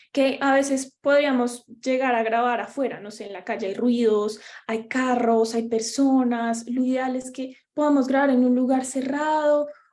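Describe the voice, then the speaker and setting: In a strong Bogotá accent, a woman speaks at a fairly slow pace with a high pitch and hardly any pauses. Her loudness swings a lot, and there is audible room echo. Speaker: workshop presenter on podcasting. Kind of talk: workshop lecture.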